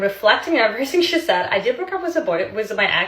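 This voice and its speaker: A woman's voice swings very widely in pitch, animated in tone. Background noise is noticeable. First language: Russian. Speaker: social media creator, former model. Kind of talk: casual storytelling to camera.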